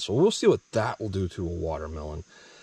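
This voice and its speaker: A man's very deep, low voice at a very fast pace, with ordinary pitch variation and a dry sound with no echo. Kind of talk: tutorial. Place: forest. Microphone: phone near.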